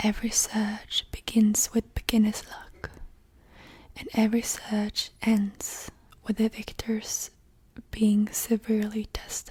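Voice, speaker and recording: Soft-spoken and fairly high-pitched, a woman talks at a very slow pace in a monotone, flat intonation, with big swings in loudness and noticeable background noise. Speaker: ASMR artist. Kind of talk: book reading for sleep. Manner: soft-spoken, slow.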